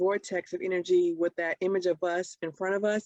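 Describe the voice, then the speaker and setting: At a moderate pace, a woman speaks in an ordinary speaking voice at a medium pitch, with a dry, close sound and no echo. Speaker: podcast co-host. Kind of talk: casual chat.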